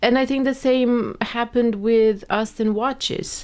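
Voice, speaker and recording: A woman is speaking. She has a non-native accent. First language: not English. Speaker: podcast guest, host's wife. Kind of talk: casual chat.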